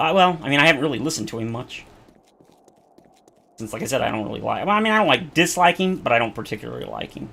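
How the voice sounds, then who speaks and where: With a bright, sharp tone and vocal fry, a man talks at a very fast pace, swinging his pitch very widely and leaving long, frequent pauses. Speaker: gaming streamer. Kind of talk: casual chat while playing a game. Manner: casual, hesitant with repeated words.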